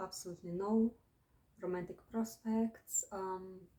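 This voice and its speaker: Her pace is fairly slow, in a non-native accent. This woman's pitch sits at a medium level. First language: not English. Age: 20s. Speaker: vlogger. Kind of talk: casual monologue vlog. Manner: hesitant, many fillers.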